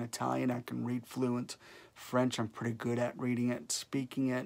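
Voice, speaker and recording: The speaker talks at a moderate pace with a Chicago accent. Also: man. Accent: Chicago, US Midwest. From Chicago area, Illinois. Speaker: YouTuber giving life advice. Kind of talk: casual monologue to camera. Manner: rambling, hesitant with fillers.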